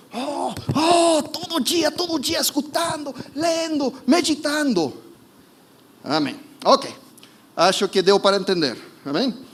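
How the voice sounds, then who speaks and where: Over noticeable background noise, a man speaks at an extremely high pitch with lively intonation. His pace is very slow, with long, frequent pauses. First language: not Portuguese (speaking Portuguese). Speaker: preacher. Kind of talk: sermon. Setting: church service streamed online. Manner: halting, self-correcting.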